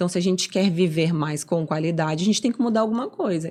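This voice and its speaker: Talking at a very fast pace, a woman with a fairly low pitch uses lively intonation. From southern Brazil, Florianópolis. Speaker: doctor, nutrition and sports medicine. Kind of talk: interview.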